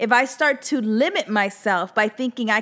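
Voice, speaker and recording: A woman's high-pitched, animated voice with lively intonation at a moderate pace. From US, Latin household. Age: 40s. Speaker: podcast host, entrepreneur. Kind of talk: casual monologue.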